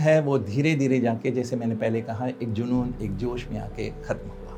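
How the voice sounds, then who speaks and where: Big swings in loudness mark this man's speech, which has hardly any pauses. Noticeable background noise runs underneath. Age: 70s. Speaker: lyricist and filmmaker. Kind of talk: interview monologue.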